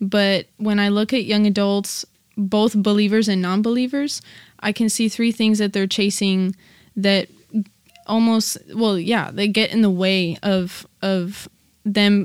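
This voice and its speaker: A woman talks at a fairly slow pace, her medium pitch held in a monotone, flat intonation. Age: 20s. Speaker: church ministry worker. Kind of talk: casual chat.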